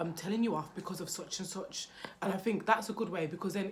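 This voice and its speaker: A loud woman's voice with a British accent, medium in pitch, with ordinary pitch variation. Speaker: parenting vlogger. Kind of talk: casual vlog talk to camera.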